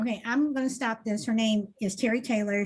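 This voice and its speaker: Somewhat breathy, a woman speaks very fast with ordinary pitch variation. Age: 60s. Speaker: talk show host. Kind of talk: commentary on a played video.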